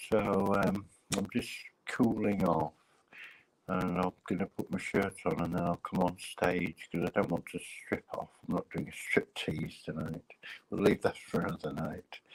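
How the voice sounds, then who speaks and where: A man's very deep, low voice with an English accent, fairly slow and fairly even in intonation, dry and close with no echo. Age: 60s. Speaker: live streamer. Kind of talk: casual chat.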